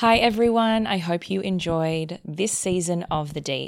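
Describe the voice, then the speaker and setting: With an Australian accent, a woman talks at a moderate pace. Her pitch is medium, with ordinary pitch variation. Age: 20s. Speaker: podcast host. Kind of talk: interview.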